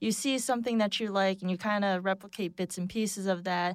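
Speaking at a fairly quick pace with an American accent, a woman uses a plain, everyday voice at a medium pitch. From Boston. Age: 20s. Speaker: illustrator, recent graduate. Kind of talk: casual roundtable discussion. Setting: studio.

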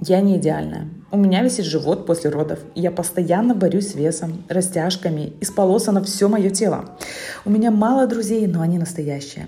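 A woman talks at a moderate pace with ordinary pitch variation, noticeable background noise and audible room echo around her. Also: medium pitch for a woman. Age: 30s. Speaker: podcaster, mother of five. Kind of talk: personal monologue.

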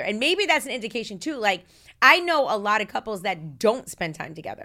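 Speaking at a fairly quick pace, a woman uses a fairly high pitch, a bright, sharp tone and very wide pitch swings. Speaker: podcast host, former radio host. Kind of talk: casual chat. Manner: talkative, goes on tangents.

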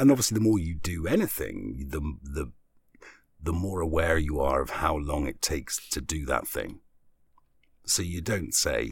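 With vocal fry, a man speaks at a moderate pace in a very deep, low voice. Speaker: voiceover artist. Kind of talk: casual chat.

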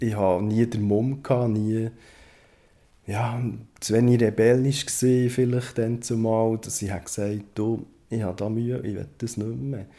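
A man's medium-pitched voice, dark and mellow, at a moderate pace with fairly even intonation and long, frequent pauses. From Switzerland, Bern. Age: 40s. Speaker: former Jehovah's Witness. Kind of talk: personal testimony. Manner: halting.

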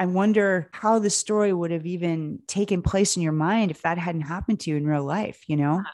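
At a fairly quick pace with hardly any pauses, a woman speaks in a normal speaking voice, fairly low in pitch with ordinary pitch variation, against a quiet background. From Pennsylvania, US. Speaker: podcast host and producer. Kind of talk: casual interview.

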